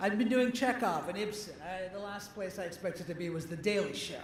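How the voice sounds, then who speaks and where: Fairly quick speech from a man with a high pitch, plus noticeable background noise. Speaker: actor and comedian. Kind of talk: comedic award acceptance speech. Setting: live event with audience.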